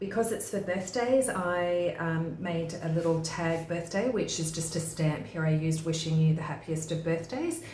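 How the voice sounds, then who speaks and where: A woman with an Australian accent speaks at a moderate pace and a fairly low pitch, with audible room echo and noticeable background noise. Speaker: craft tutorial maker. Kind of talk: tutorial.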